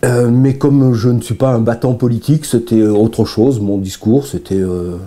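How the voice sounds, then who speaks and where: The pitch varies in an ordinary way. Background noise is noticeable. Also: man, medium pitch for a man, moderate pace. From Provence, southern France; lived in Chamonix 50+ years. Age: 70s. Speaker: mountain guide and filmmaker, local election supporter. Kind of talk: interview testimony. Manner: halting, many hesitations.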